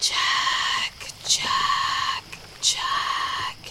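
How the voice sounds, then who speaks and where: The pitch sits extremely high. It is a put-on character voice. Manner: delighted, hissing, taunting.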